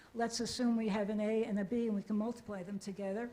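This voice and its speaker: A woman's fairly high-pitched voice with monotone, flat intonation. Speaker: audience member asking question. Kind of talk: audience question in Q&A. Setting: lecture hall with audience.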